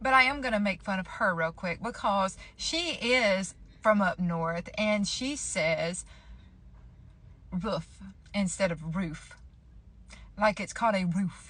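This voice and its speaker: Very slowly, with long, frequent pauses, a woman with a Southern US accent talks in a playful tone at a medium pitch with ordinary pitch variation. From Georgia, US. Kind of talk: casual talk to camera. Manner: chatty, playful.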